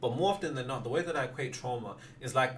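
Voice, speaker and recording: This man speaks at a very fast pace. His voice is somewhat breathy. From West Midlands, Wolverhampton. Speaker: manifestation content creator. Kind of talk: livestream Q&A. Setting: livestream.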